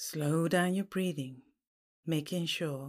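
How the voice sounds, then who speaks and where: Very slowly, a woman speaks in a calm, soothing tone with fairly even intonation. The recording is very clean, with a silent background. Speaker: podcast host and pathworking guide. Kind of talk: guided meditation, reading a pathworking aloud. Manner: slow, calm, soothing, gently paced with pauses; soft-spoken, hypnotic and reassuring.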